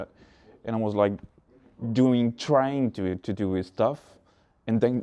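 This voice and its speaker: Speaking at a moderate pace, a man uses a medium pitch, ordinary pitch variation and a dark, mellow tone. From France. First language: French. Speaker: beatboxer. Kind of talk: interview. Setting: backstage before a concert. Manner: halting.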